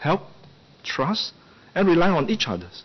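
A man talks at a moderate pace. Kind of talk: formal parliamentary speech. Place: hall. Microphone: podium.

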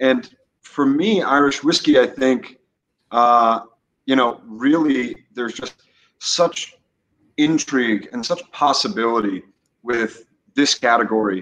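A man with an American accent at a fairly slow pace, with long, frequent pauses, ordinary pitch variation, and light background noise. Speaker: whiskey brand representative; guest. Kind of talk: casual interview chat. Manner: hesitant, many fillers. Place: home room. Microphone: video call.

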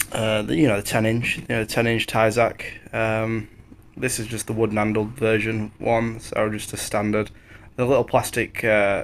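Flat, monotone intonation runs throughout. The pace is moderate, with light background noise. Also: man. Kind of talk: casual vlog chat while working. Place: street. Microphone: phone near.

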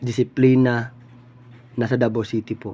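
The voice has a dark, mellow tone and keeps a moderate pace. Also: man. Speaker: political commentary vlogger. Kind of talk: political opinion monologue.

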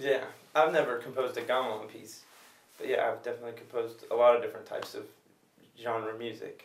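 Speech comes at a very fast pace with long, frequent pauses and big swings in loudness, and audible room echo surrounds it. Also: man. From US, Los Angeles; California. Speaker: music producer and gamelan player. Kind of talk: interview. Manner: halting, with repeated words.

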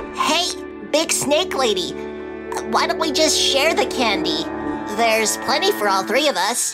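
A cartoonish character voice, female-sounding and high-pitched, moves at a fairly slow pace over loud background music. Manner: upbeat.

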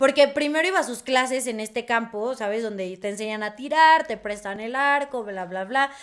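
Speaking at a moderate pace with hardly any pauses, a woman with a high pitch shows big swings in loudness. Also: ordinary pitch variation. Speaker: podcast co-host. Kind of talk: casual chat.

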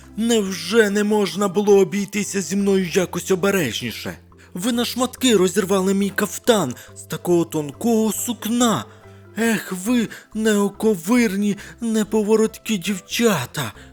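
A put-on character voice, shrill and creaky at a middle pitch, moves at a moderate pace while faint music plays in the background. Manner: outraged, complaining.

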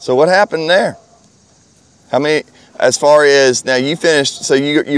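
Recorded dry with no echo, a man with a Southern US accent talks at a moderate pace. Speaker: hunting channel interviewer. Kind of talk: casual interview. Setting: outdoors at a hound event. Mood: friendly, relaxed. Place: open country. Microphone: lapel.

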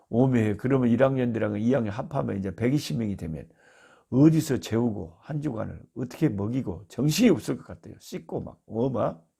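Vocal fry runs through this man's dark, mellow tone, with lively intonation and big swings in loudness on a very clean recording with a silent background. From South Korea, Jeolla (Beolgyo). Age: 60s. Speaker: missionary, Bible teacher. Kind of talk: Bible teaching talk. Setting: recording at his rural family home.

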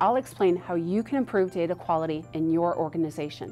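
Faint music sits in the background while a woman speaks at a moderate pace. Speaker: conference speaker. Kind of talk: promotional explainer to camera. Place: studio.

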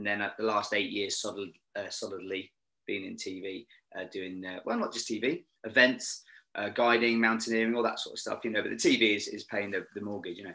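With a British accent, a man speaks at a fairly quick pace in a fairly low pitch, his tone bright and sharp and his intonation fairly even. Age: 50s. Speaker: former Royal Marine, TV location scout and safety manager. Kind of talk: casual chat. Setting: video call. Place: home room. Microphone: video call.

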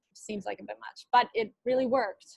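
A woman at a fairly quick pace, her intonation fairly even, in dry sound with no echo and a quiet background. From Canada, Winnipeg. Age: 20s. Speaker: alumna keynote speaker. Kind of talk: commencement speech. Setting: video call. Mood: earnest, encouraging. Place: home room. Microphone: earbuds.

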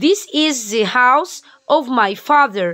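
A woman's high-pitched voice, bright and sharp in tone, with ordinary pitch variation and a quiet background. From Egypt. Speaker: English teacher. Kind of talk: tutorial. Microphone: phone near.

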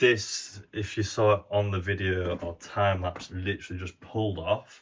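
A man talks with an ordinary speaking voice and a fairly low pitch. His pace is fairly slow, his intonation fairly even. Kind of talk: casual vlog chat. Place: home room. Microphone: phone near.

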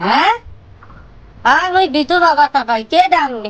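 A woman performs a put-on character voice at a high pitch. She speaks fairly slowly, with very wide pitch swings. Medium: short film. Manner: blunt, scolding.

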